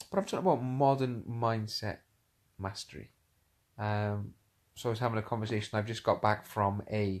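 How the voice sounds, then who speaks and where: A man's fairly low voice at a moderate pace, with fairly even intonation and long, frequent pauses. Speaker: motivational speaker and coach. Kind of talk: casual live-stream talk. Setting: lying in bed, Facebook live stream. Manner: hesitant, many fillers and repetitions; whispering at first.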